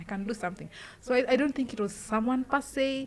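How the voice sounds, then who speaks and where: A woman rattles off her words very quickly, her voice somewhat breathy and her pitch varying in an ordinary way. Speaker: street poet. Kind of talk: casual interview. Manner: halting.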